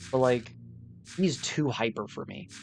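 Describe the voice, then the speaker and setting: Music plays in the background as a man speaks. His pitch is medium and his intonation is lively. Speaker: gaming streamer. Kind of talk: casual chat. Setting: live stream.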